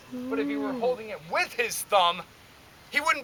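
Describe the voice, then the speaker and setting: Raising and projecting his voice, a man speaks at an extremely high pitch with a bright, sharp tone. His pace is fairly quick and his intonation lively. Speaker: historical fort guide. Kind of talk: live demonstration to visitors. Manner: loud.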